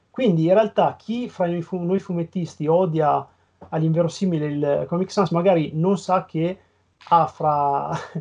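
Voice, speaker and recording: A man's high-pitched voice, fairly slow in pace, with fairly even intonation. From northern Italy, Piacenza. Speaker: comic book letterer and graphic designer. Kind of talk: casual interview chat.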